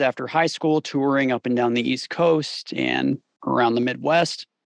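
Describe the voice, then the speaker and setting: A man speaks in a plain, everyday voice at a moderate pace. The sound is dry and close, with no echo. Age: 30s. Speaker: mix engineer and YouTube creator. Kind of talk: casual interview conversation.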